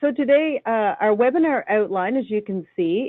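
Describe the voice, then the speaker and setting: Speaking at a moderate pace, a woman in a Newfoundland accent uses lively intonation. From Newfoundland, Canada. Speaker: online program coordinator and presenter. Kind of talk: webinar presentation. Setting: online webinar.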